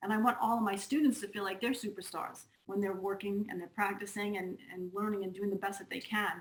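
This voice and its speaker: Hardly pausing, a woman with a Long Island accent speaks at a fairly quick pace in a medium pitch with fairly even intonation. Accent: Long Island New York. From US Northeast, Long Island, New York. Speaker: music teacher and author. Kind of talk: casual chat.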